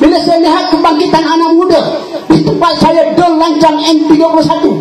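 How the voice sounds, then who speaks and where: An extremely high-pitched man at a fairly quick pace, with music in the background and audible room echo. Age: 60s. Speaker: politician. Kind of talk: political rally speech. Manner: animated.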